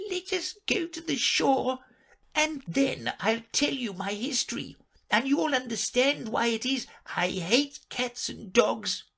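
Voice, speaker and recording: This is a put-on character voice, shaky and fairly high in pitch. The pace is fairly slow. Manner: low and trembling with passion.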